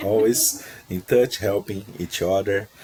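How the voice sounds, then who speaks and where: A man speaks at a very slow pace in a very deep, low voice with fairly even intonation. Noticeable background noise runs underneath. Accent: Portuguese. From Brazil. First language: Portuguese. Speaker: procurement professional, job seeker. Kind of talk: interview conversation.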